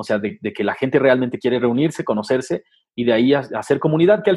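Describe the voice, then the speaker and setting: A man talks. His pace is very fast. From Nezahualcóyotl, Mexico City area. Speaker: sneaker media creator. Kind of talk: casual interview chat.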